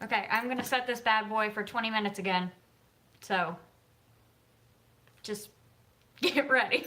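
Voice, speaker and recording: With an American accent, a woman speaks in a raised, projected voice at a moderate pace. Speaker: author and YouTuber. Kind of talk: casual livestream chat.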